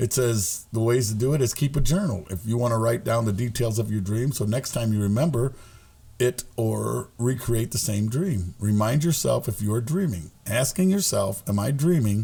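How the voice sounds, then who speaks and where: A man's somewhat breathy voice carries a dark, mellow tone and lively intonation. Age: 60s. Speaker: podcast co-host. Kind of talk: casual chat.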